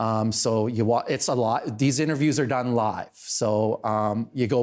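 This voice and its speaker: A man speaks with a Canadian accent at medium pitch. His intonation is fairly even. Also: very clean recording, silent background. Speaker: town councillor and local online show host. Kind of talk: casual podcast interview. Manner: loud.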